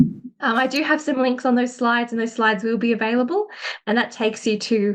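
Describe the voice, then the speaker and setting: A woman talks at a fairly quick pace in an Australian accent. Her pitch is high and her intonation fairly even. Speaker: academic and education consultant. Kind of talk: webinar presentation.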